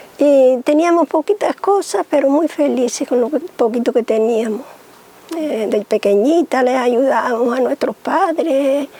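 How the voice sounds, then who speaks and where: Very even loudness, ordinary pitch variation and a fairly slow pace, in a dry, close sound with no echo over noticeable background noise. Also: woman, high pitch for a woman. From Canary Islands, Gran Canaria (Guayadeque). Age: 70s. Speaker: cane basket artisan. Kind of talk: interview, life story. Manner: halting, hesitant.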